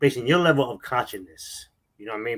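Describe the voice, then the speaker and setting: A man's very fast speech, with ordinary pitch variation, is captured on a very clean recording with a silent background. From New York City (Harlem/Manhattan). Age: 60s. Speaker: religious movement elder. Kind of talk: interview. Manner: halting, repetitive fillers.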